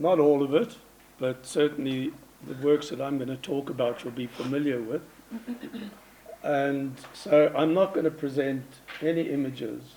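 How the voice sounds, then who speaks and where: Noticeable background noise runs behind a man with a fairly high pitch. He speaks at a moderate pace, with long, frequent pauses. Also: fairly even intonation. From South Africa, Johannesburg. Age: 70s. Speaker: artist and curator. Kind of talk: conference presentation. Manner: conversational, informal.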